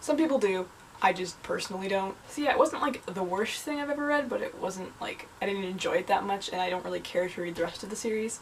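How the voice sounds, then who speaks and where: Lively intonation and a very fast pace stand out over noticeable background noise. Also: woman, medium pitch for a woman. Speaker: university student. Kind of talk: casual talk to camera.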